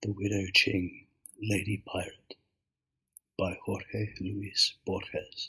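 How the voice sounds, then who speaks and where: The voice is soft-spoken and very slow. Long, frequent pauses run through the speech. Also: man. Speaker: ASMR reader. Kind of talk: audiobook reading.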